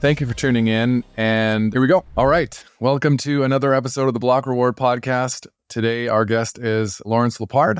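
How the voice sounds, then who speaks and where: An unremarkable speaking voice, this man's is medium in pitch with fairly even intonation and very even loudness, moving at a moderate pace with hardly any pauses on a very clean recording with a silent background. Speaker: podcast host. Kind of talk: casual interview conversation.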